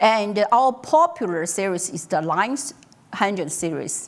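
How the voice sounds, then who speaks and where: With a Mandarin accent, a woman speaks at a fairly slow pace, her medium pitch carrying lively intonation. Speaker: tech company executive presenter. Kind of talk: conference talk. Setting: stage with audience. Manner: halting, many fillers.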